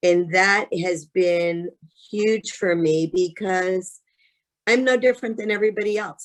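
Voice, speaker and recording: Her intonation fairly even, a woman with a medium pitch speaks in a plain, everyday voice. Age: 60s. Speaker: insurance sales agent. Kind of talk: testimony.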